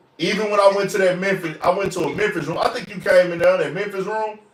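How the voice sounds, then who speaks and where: There is noticeable background noise behind this recording. A man talks at a very fast pace with a high pitch. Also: big swings in loudness. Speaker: podcast host. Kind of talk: casual chat.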